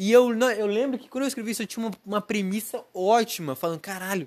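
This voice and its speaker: A man speaks at a high pitch with ordinary pitch variation on a very clean recording with a silent background. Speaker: podcaster. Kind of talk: casual monologue. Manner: rambling, unscripted.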